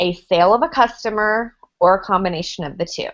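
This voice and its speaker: A woman with an American accent speaks at a medium pitch and a moderate pace. Her intonation is lively, and the background is quiet. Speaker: network marketing ambassador. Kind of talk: training presentation.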